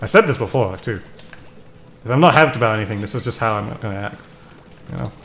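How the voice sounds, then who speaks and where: A man with a British accent speaks at a very fast pace, with ordinary pitch variation and long, frequent pauses. His loudness swings widely, and there is noticeable background noise. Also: medium pitch for a man. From Britain. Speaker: gaming streamer. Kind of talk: casual chat. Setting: live stream. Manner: calm, low-energy.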